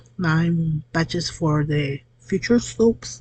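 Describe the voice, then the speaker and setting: A woman with a Spanish accent speaks at a fairly low pitch. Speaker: soap maker. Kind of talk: tutorial. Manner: halting, with fillers.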